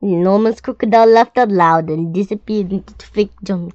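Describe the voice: Ordinary pitch variation in plain reading aloud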